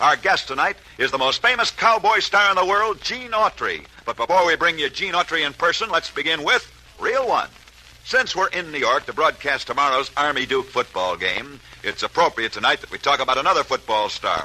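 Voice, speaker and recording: A man's high-pitched voice with very wide pitch swings, dry and close with no echo, over noticeable background noise. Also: fairly quick pace. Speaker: radio sports broadcaster. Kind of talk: old-time radio sports story narration.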